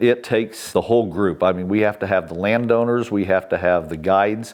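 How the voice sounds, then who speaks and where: A man with an American accent and an unremarkable speaking voice talks at a moderate pace, fairly low in pitch with fairly even intonation. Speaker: county commissioner, hunting guide and landowner, board chair-elect; retired law enforcement officer. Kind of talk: oral history interview answer.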